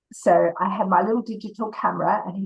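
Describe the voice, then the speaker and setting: A somewhat breathy woman's voice in a monotone, flat intonation. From Australia. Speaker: author and editor. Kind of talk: interview.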